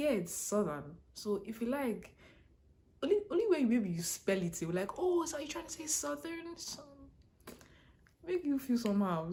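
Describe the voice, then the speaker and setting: Over noticeable background noise, a woman with a strong Nigerian accent talks with very wide pitch swings. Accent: heavy Nigerian. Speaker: international student blogger. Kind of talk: casual vlog advice talk. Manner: fast, runs words together.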